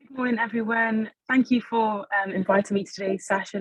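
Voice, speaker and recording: A woman with a Welsh accent, fairly even intonation and a fairly quick pace. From Wales. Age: 20s. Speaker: social enterprise founder. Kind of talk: webinar panel discussion.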